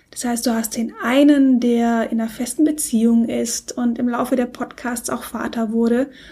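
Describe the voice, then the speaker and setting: Over noticeable background noise, a woman with a high pitch talks at a moderate pace in a monotone, flat intonation, with hardly any pauses. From Germany, Stuttgart. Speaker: podcast co-host, blogger. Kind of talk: casual chat.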